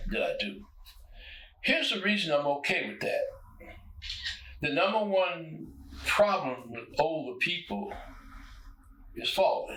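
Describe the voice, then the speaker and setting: A man speaks at a fairly slow pace with long, frequent pauses. There is audible room echo and noticeable background noise. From US South (Arkansas). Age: 90s. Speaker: retired poet and musician. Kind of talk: interview.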